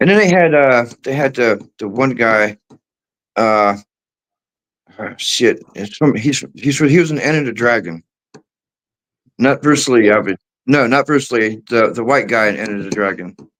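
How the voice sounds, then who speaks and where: A man talks at a medium pitch with ordinary variation in his intonation. His pace is fairly slow, broken by long, frequent pauses. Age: 40s. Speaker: caller on a live chat stream. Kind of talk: casual chat.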